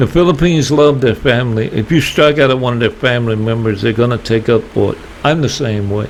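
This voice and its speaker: Speaking very fast with a Southern US accent, a man uses a medium pitch and ordinary pitch variation over noticeable background noise. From US South. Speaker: YouTuber. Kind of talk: casual vlog monologue.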